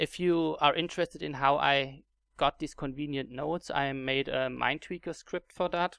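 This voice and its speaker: The speaker talks at a moderate pace in a German accent. The recording is very clean, with a silent background. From Germany. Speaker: gaming YouTuber. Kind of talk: tutorial. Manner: halting, many fillers and repetitions.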